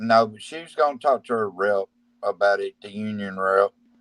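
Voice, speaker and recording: Dry and close with no echo, a man speaks at a moderate pace in an unremarkable speaking voice, medium in pitch with fairly even intonation. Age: 40s. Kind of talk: casual chat.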